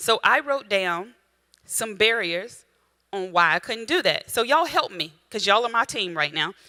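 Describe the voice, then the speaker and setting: This woman's voice has a bright, sharp tone and swings very widely in pitch. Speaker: women's ministry speaker and coach. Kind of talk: motivational workshop talk. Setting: room with live audience and Zoom. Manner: fast; animated.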